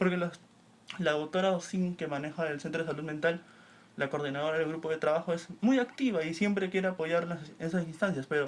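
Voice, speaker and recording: The speaker is a man with a high pitch. He keeps his intonation fairly even. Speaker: community organizer. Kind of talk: panel discussion.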